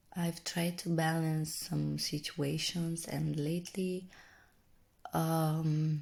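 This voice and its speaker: The voice is soft-spoken. The pace is very slow. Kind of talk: ASMR reflective talk to camera.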